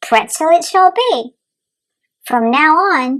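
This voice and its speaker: A woman performs a put-on character voice, squeaky and extremely high-pitched. She goes at a very slow pace with very wide pitch swings. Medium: read story. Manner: commanding, formal.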